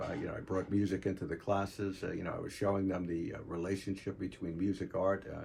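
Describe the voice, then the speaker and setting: Speaking at a very fast pace, a man with an American accent has a very deep, low pitch, a somewhat breathy sound and fairly even intonation. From New York, Long Island (Queens, North Babylon). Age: 70s. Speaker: retired art teacher and artist. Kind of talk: personal reminiscence. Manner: halting, many fillers.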